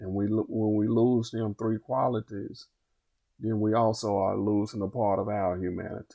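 With an Arkansas accent, a man speaks in a monotone, flat way. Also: moderate pace. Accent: US South, Arkansas. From Little Rock, Arkansas. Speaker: fair sentencing activist. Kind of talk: podcast interview.

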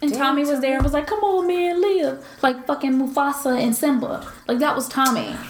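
Over noticeable background noise, a woman with a Southern US accent talks at a fairly quick pace and high pitch, sounding animated, with ordinary pitch variation and hardly any pauses. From US South. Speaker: podcast co-host. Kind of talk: casual chat.

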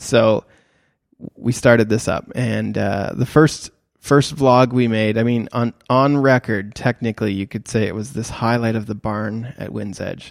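A man speaks in a plain, everyday voice at medium pitch and a fairly slow pace, with fairly even intonation. The recording is very clean, with a silent background and a dry, close sound with no echo. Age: 30s. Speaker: photographer and podcast host for creators. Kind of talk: casual solo podcast talk. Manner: casual, with many fillers and restarts.

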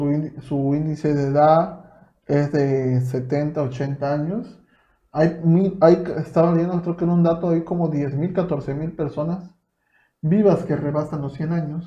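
At a very slow pace, a man with a Mexican accent speaks in a fairly high pitch, his dark, mellow tone kept to fairly even intonation. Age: 20s. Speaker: podcast host. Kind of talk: casual chat.

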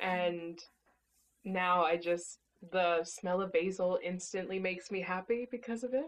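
A woman speaks at a fairly slow pace in an unremarkable speaking voice, medium in pitch with ordinary pitch variation. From US, born in Mexico. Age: 20s. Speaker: company CEO. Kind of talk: casual interview.

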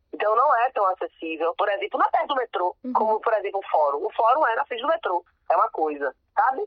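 Fairly high in pitch, a woman talks at a very fast pace. Her pitch swings very widely. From Salvador, Bahia, Brazil. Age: 30s. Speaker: lawyer and city councillor. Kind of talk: interview. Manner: casual, animated.

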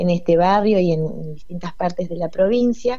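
In a room with audible echo, a woman with fairly low pitch speaks at a fairly slow pace. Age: 40s. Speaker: cultural organization coordinator. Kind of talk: radio interview. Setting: phone call.

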